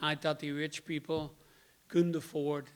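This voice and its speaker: A man speaks with a Dutch accent. His voice sits fairly high in pitch. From Netherlands (Rotterdam). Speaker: member giving personal testimony. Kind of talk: testimony.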